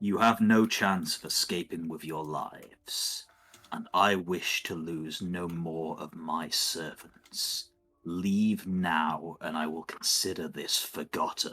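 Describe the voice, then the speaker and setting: A man's put-on character voice, very deep and low, with fairly even intonation at a fairly slow pace and faint music in the background. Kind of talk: formal, threatening. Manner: scared, tense, wary.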